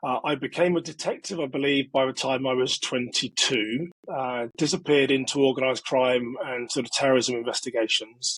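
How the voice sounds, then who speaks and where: A man with a British accent at a moderate pace, fairly even in intonation, with a dry, close sound and no echo. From England. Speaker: security expert and author. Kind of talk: interview.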